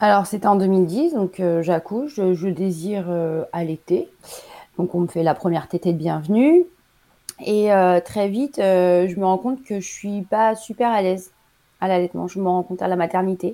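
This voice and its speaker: A woman's medium-pitched voice with a dark, mellow tone, ordinary pitch variation, and a moderate pace. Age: 40s. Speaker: nurse and mother. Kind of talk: casual interview. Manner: hesitant, many fillers.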